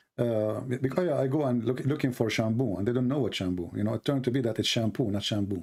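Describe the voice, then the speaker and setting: A man with an Arabic accent at a very fast pace, medium pitch, ordinary pitch variation, very even loudness and hardly any pauses. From Yemen. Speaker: religious debate streamer. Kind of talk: call-in debate. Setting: Skype call.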